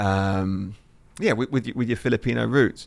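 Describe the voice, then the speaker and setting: A man with an English accent talks at a fairly quick pace with fairly even intonation. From southeast England (Lewes, near Brighton). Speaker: football coach and former national team player. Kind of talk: casual interview.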